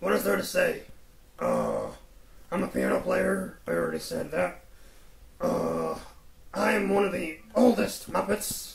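Putting on a character voice, a man talks at a fairly slow pace with long, frequent pauses over clear background noise. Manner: relaxed, hesitant, rambling.

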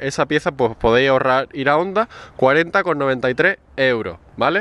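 A man talks with lively intonation in a dry sound with no echo. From Spain. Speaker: motorcycle mechanics youtuber. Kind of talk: tutorial. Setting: in a car. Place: street. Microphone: phone near.

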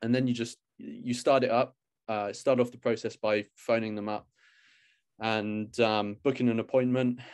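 A man with a British accent talks at a moderate pace in a monotone, flat intonation, with long, frequent pauses and big swings in loudness against a quiet background. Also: medium pitch for a man. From UK. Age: 20s. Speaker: YouTuber. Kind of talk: casual chat. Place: home room. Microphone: video call.

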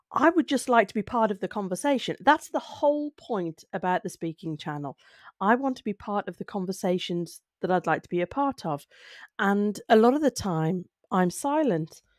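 Over a quiet background, a woman speaks at a moderate pace with medium pitch and very wide pitch swings, the sound dry with no echo. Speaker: speaking skills video creator. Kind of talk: solo talk to camera. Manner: conversational, reflective. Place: home room. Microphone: studio mic.

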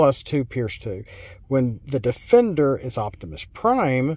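A man at a fairly slow pace, with a dry sound, no echo and a quiet background. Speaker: card game reviewer. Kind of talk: casual card review commentary. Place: car.

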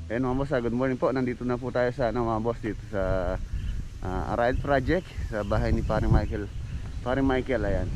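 A man talks at a moderate pace. The sound is dry with no echo, with noticeable background noise. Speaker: construction vlogger. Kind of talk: casual vlog chat. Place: open country. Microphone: phone near.

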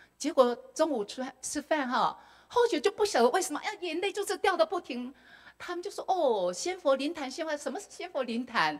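A woman's high voice in a Taiwanese accent, fairly quick, with very wide pitch swings over a quiet background. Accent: Taiwanese Mandarin. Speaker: retired school principal; speaker. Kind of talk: testimony. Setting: temple hall with audience. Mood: emotional recollection of hardships. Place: hall. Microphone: handheld.

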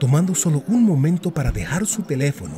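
Music plays in the background as the speaker moves at a moderate pace with very wide pitch swings. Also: man. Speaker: voice actor. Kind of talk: public service announcement read.

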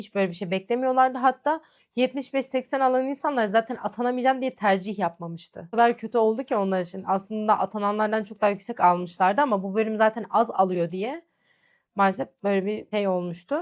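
A woman speaks at a fairly quick pace. She has a normal speaking voice. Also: fairly high pitch for a woman, ordinary pitch variation. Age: 20s. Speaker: lab technician and vlogger. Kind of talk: Q&A vlog, casual monologue. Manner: chatty, conversational.

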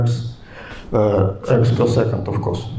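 A man's fairly even intonation comes through audible room echo and light background noise. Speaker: lecturer at a summer school. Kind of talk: lecture. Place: hall. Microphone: handheld.

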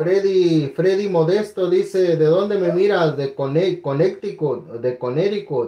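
A man speaks at a high pitch and a very slow pace, with ordinary pitch variation. He leaves hardly any pauses. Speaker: coin auctioneer and live-stream host. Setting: live stream online. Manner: animated, upbeat, warm and friendly with bidders.

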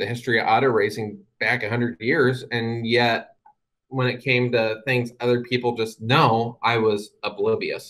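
A man talks with an American accent. His pitch sits in the medium range. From US Midwest, Indianapolis; Indiana. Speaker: guest. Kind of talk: talk to an online audience. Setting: video call. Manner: talks too fast sometimes. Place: home room. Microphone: webcam.

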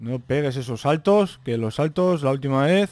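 A man talks at a moderate pace in an animated tone with lively intonation, the sound dry and free of echo. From Spain. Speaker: gaming youtuber. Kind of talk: gameplay commentary. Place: home room.

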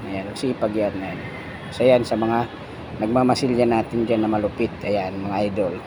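Amid noticeable background noise, a man talks at a moderate pace and medium pitch with fairly even intonation. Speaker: construction painter and vlogger. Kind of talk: casual vlog narration. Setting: construction site.

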